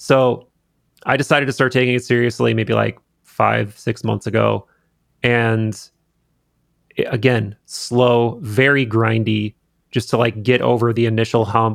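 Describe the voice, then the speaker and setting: Over a silent background on a very clean recording, a man talks at a fairly slow pace in a flat monotone, with long, frequent pauses. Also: medium pitch for a man. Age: 30s. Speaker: podcast host and video creator. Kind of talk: casual chat. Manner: casual, conversational.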